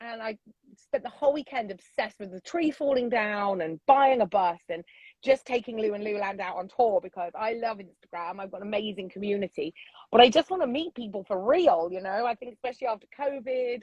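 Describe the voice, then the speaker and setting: A woman with a fairly high pitch, lively intonation, a fairly quick pace and big swings in loudness. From England. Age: 50s. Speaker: social media influencer. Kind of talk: casual interview chat.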